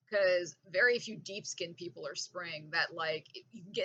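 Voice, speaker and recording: A woman talks in an animated, bright, sharp tone at a moderate pace. Her medium pitch moves with ordinary variation. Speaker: vlogger. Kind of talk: casual monologue rant.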